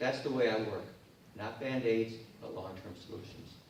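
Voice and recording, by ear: A man with a fairly low pitch speaks at a moderate pace with ordinary pitch variation, and the room echoes strongly.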